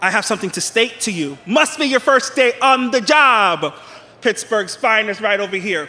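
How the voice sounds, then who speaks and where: A man speaks in a raised, projected voice, high in pitch with a bright, sharp tone. His intonation is lively and his pace moderate. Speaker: professional wrestler. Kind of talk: wrestling promo. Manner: brash, boastful.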